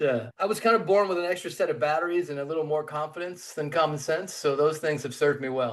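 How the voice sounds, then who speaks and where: A man's fairly high voice at a very fast pace, ordinary pitch variation and hardly any pauses. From US South (Mississippi, Tennessee). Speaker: entrepreneur and investor. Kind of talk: podcast interview.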